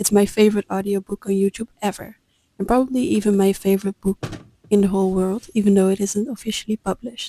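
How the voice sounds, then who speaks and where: Calm and at a fairly quick pace, a woman with a Dutch accent speaks at medium pitch in a dark, mellow tone with fairly even intonation, the sound dry and close with no echo. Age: 20s. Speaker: vlogger. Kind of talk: scripted narration.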